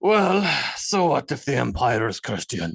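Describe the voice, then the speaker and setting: A man puts on a raspy character voice, talking at a moderate pace and a medium pitch. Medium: read story.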